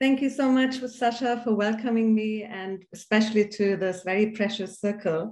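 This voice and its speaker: A woman speaks at medium pitch with a slight German accent, keeping her intonation fairly even at a moderate pace. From Iran, then Germany. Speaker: philanthropy leader, former refugee. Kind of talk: panel discussion.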